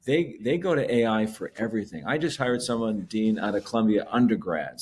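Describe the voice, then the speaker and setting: With an unremarkable speaking voice, a man talks at a fairly quick pace in a medium pitch with ordinary pitch variation, on a very clean recording with a silent background. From Canada. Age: 60s. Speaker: tech company CEO. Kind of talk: podcast interview. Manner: casual, with repetitions and false starts.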